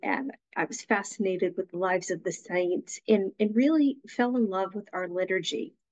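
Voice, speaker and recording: Against a quiet background, a woman talks with lively intonation. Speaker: guest. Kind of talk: interview answer. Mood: warm, reflective. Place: home room. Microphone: video call.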